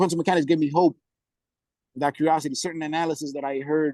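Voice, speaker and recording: A man at a very fast pace, fairly high in pitch, with a dry, close sound and no echo. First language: Spanish. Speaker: guest on discussion call. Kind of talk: casual chat. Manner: halting, many repetitions and false starts; animated.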